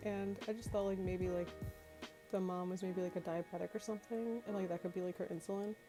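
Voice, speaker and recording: Music plays behind a woman speaking at medium pitch with ordinary pitch variation. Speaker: Sims game builder. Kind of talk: casual gameplay voice-over. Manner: hesitant, many fillers.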